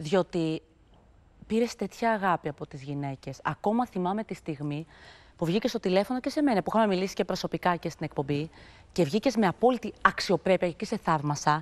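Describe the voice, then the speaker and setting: A woman talks at a moderate pace, her intonation lively. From Greece. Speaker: TV talk show host. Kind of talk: talk show interview. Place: studio. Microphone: lapel.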